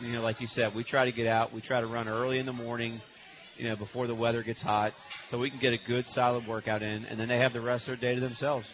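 At a very fast pace, a man speaks in a medium pitch with monotone, flat intonation over noticeable background noise. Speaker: coach. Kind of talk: casual radio interview.

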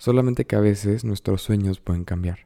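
On a very clean recording with a silent background, a man's fairly low voice keeps a fairly even intonation in a dry, close sound with no echo. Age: 20s. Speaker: podcast host. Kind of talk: solo monologue podcast.

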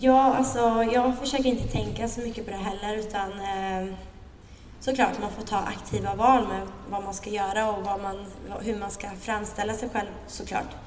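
A woman speaks at a medium pitch with fairly even intonation. Audible room echo and noticeable background noise surround her. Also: moderate pace. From Sweden, Linköping. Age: 20s. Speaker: fashion blogger. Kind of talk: live interview before an audience. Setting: event with live audience.

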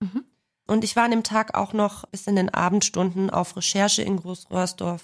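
Speaking at a moderate pace, a woman keeps a flat, monotone delivery at medium pitch in a very clean recording with a silent background. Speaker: crime reporter. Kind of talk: casual chat.

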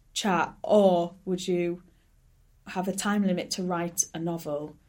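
This is a woman speaking with a Hull accent. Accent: Hull accent, northern English. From Hull, northern England. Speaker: stand-up comedian. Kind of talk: casual interview chat.

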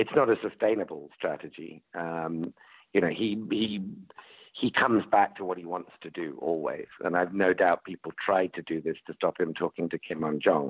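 In a British accent, a man speaks at a moderate pace with a very deep, low pitch and ordinary pitch variation. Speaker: panelist.

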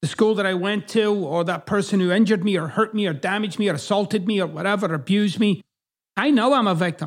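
Speaking at a very fast pace, a man with a Scottish accent has a high pitch. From Scotland. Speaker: podcast host. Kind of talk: solo monologue, self-help talk. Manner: profane, direct.

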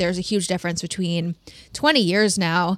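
This woman talks at a moderate pace, her pitch medium and its variation ordinary. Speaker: podcast host. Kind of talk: casual chat.

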